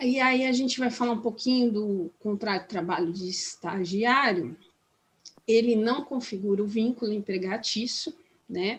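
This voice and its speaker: A woman with a fairly high pitch talks at a fairly slow pace. Her voice is somewhat breathy, with ordinary pitch variation. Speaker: labor law trainer. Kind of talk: training workshop lecture. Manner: halting, many fillers and restarts.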